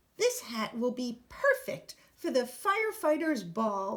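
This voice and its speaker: Speaking in a put-on character voice, a woman pitches her voice high. Her pace is fairly slow. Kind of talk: fancy, upper-class.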